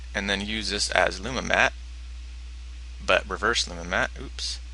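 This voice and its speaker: The voice has a bright, sharp tone with vocal fry. It moves at a moderate pace. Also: man. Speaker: animation filmmaker and tutorial maker. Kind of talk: tutorial. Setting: home computer desktop screen recording.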